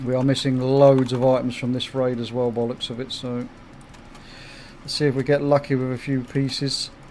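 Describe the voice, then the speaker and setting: Talking at a moderate pace, a man with a southeast English accent holds a medium pitch. His intonation is monotone and flat. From southeast England, Kent. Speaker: gaming streamer. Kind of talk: casual livestream chat.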